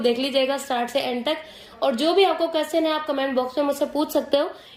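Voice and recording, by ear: A woman talks fast in a high pitch with a slightly mellow tone.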